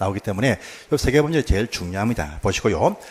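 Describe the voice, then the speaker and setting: A man in a southern Korean accent speaks with very wide pitch swings. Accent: southern Korean dialect (Namdo). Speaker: exam prep instructor. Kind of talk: lecture. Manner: fast.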